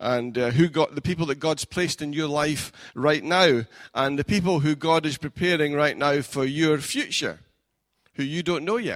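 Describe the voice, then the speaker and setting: With a Scottish accent, a man speaks at a moderate pace and a fairly high pitch, using ordinary pitch variation and big swings in loudness, in a very clean recording with a silent background. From Scotland. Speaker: pastor. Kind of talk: sermon. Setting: church. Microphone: new mic.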